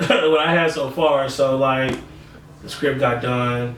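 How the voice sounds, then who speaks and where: Very slow speech from a man amid noticeable background noise and audible room echo. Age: 20s. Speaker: musician and record label owner. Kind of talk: casual interview chat.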